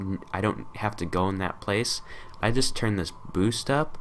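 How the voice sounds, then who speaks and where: A man is talking. His voice sits fairly low. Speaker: tutorial youtuber. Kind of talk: tutorial. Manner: casual, many fillers.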